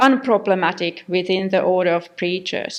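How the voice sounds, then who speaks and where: A woman speaks with a non-native accent. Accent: non-native English accent, self-noted. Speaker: academic researcher. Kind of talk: conference lecture. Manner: halting, many fillers.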